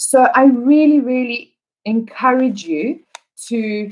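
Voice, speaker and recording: Speaking at a very slow pace, a woman with a South African accent uses a high pitch and lively intonation. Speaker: English teacher. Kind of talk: live online lesson. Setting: livestream.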